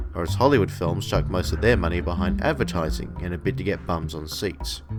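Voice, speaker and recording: A man with an Australian accent talks at a fairly quick pace in a very deep, low pitch, with very wide pitch swings. Music plays in the background. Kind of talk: opinion commentary to camera.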